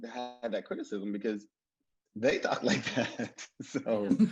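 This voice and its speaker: A man speaks at medium pitch with ordinary pitch variation. Music plays in the background. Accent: Mississippi. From Mississippi. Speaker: TV writer. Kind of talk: panel discussion.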